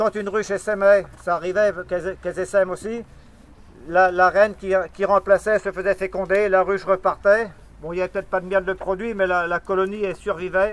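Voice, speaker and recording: Speaking at a fairly quick pace, a man uses a high pitch and monotone, flat intonation. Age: 60s. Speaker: beekeeper. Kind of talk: speech to protesters. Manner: halting.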